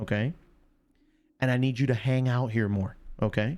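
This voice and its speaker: The speaker is a man with a medium pitch. He talks at a moderate pace. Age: middle-aged. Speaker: sports and gaming streamer. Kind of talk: live stream sports talk. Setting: live stream. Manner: loud.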